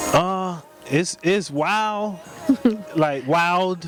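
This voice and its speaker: With an American accent and ordinary pitch variation, a man speaks amid noticeable background noise. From South Carolina, Hartsville. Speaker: singer-songwriter. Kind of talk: interview. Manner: halting, repeats words.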